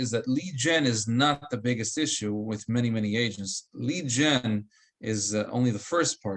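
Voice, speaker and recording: At a moderate pace, the speech has ordinary pitch variation and is an ordinary speaking voice. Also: man. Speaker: real estate trainer. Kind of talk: coaching session.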